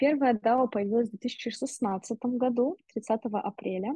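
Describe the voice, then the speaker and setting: Her voice is fairly high-pitched and somewhat breathy, and the woman shows ordinary pitch variation. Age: 20s. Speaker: marketing director. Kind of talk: interview.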